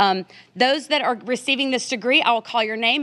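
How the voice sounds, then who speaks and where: A woman's bright, sharp tone at a fairly quick pace with ordinary pitch variation, on a very clean recording with a silent background. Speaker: school board presenter. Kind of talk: formal recognition ceremony. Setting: board meeting room with audience. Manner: fast.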